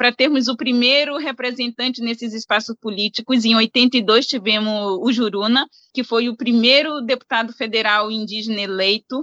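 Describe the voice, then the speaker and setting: A woman's high voice with a bright, sharp tone comes through with a dry, close sound and no echo. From Brazilian Amazon, banks of the Solimões River. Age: young. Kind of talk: interview conversation.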